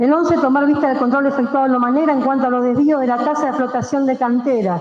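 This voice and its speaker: A woman talks at a very fast pace in a high pitch with fairly even intonation and very even loudness. Audible room echo surrounds her voice. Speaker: city councillor. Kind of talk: council debate speech.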